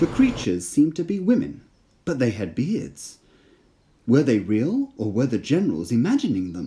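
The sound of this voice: This voice has a dark, mellow tone with a slightly husky edge, very wide pitch swings and a moderate pace. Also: man, medium pitch for a man.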